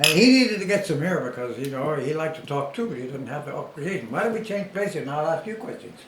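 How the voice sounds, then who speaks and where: With hardly any pauses, a man talks at a very fast pace in a fairly high pitch with lively intonation while noticeable background noise runs underneath. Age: 70s. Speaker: former boxer. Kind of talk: casual chat. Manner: animated.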